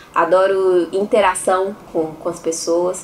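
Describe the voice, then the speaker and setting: Noticeable background noise sits under a woman's fairly low voice, her intonation monotone and flat. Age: 30s. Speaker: podcast co-host. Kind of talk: casual chat.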